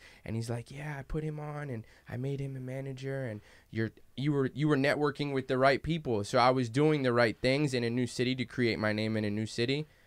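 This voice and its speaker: The man's intonation stays fairly even, and the background around him is quiet. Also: fairly quick pace. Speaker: DJ; podcast guest. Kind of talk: casual talk. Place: studio. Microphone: studio mic.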